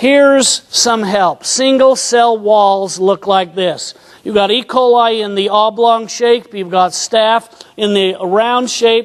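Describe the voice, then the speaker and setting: Over noticeable background noise, a man with a high-pitched voice speaks at a very slow pace with fairly even intonation. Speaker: naturopathic doctor, conference lecturer. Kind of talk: lecture.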